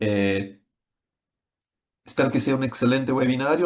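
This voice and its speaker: Here is a man with a Brazilian accent and a medium pitch. His intonation is fairly even. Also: quiet background. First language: Portuguese (speaking Spanish). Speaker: software executive presenting a webinar. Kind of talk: webinar presentation. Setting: online webinar. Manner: hesitant, with frequent fillers.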